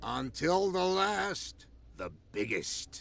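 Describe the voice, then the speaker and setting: A man's put-on character voice, raspy and high-pitched. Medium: video game. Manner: stern.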